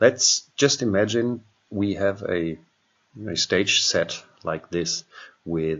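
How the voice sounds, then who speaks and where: A man with a non-native accent speaks at a very slow pace in a fairly low pitch. His intonation is lively. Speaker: software trainer; software demonstrator. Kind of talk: tutorial. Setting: home computer screen recording. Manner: hesitant, with many fillers. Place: home room.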